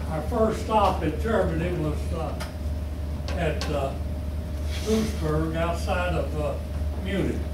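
A man talks at a very slow pace. Audible room echo and noticeable background noise surround him. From Kentucky, USA. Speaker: war veteran. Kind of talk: interview answer. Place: meeting room. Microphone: camera far.

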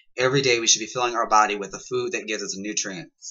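Against a quiet background, the speaker goes at a very fast pace with ordinary pitch variation. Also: man. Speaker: vlogger. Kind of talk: casual vlog advice on healthy eating. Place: home room. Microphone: webcam.

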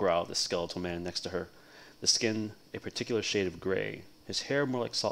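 What comes across is a natural reading voice.

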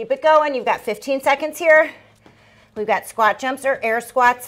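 Bright and sharp in tone, a woman's voice sits high. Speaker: fitness instructor. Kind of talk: workout instruction with countdowns. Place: home room.

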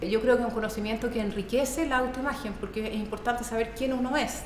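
A woman at a very fast pace, with audible room echo and light background noise. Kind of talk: interview answer. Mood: thoughtful, earnest.

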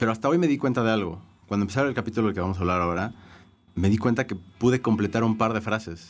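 Very fast speech from a man with a fairly low pitch and ordinary pitch variation, on a very clean recording with a silent background. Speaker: music writer. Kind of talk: casual chat.

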